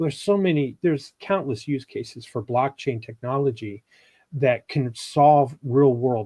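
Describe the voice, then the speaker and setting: A man speaks with a dark, mellow tone and a somewhat breathy quality. The background is quiet. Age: 60s. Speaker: podcast guest, former business executive. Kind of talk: casual chat. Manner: explanatory.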